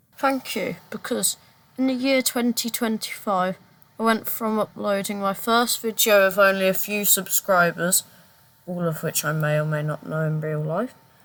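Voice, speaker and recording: A woman with a Brummie accent, lively intonation, and a moderate pace. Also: medium pitch for a woman. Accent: Brummie (Birmingham). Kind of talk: casual talk to camera.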